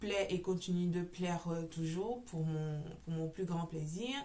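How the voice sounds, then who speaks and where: A woman at medium pitch with ordinary pitch variation and audible room echo. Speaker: knitting podcaster. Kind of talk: casual chat. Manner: loud; hesitant, many fillers.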